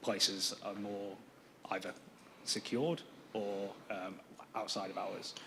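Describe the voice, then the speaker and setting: In a British accent, a man speaks slowly in a fairly low pitch, fairly slow pace, with audible room echo around him. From UK. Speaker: planning applicant representative. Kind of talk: council meeting Q&A. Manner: hesitant, many fillers.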